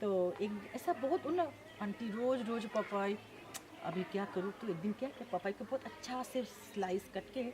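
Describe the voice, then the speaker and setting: A woman with a Bengali accent speaks with a fairly high pitch and lively intonation. There is noticeable background noise. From Bengal, India. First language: Bengali (speaking Hindi). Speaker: NGO co-founder. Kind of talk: interview.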